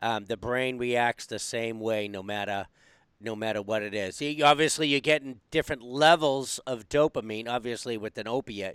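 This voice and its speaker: This is a man with a normal speaking voice at a medium pitch. He talks at a moderate pace with ordinary pitch variation, in a dry, close sound with no echo. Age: 50s. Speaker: podcast host. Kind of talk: casual interview. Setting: video call.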